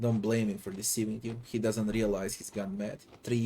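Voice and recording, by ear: Someone is reading aloud. It's done in a natural voice.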